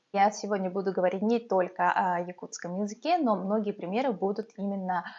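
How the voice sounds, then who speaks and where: This is a woman with medium pitch. Her pitch variation is ordinary. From Yakutia, Russia (Yakutsk). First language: Yakut (Sakha) (speaking Russian). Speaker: vlogger, mother. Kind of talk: talking-head vlog. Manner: hesitant, many filler sounds.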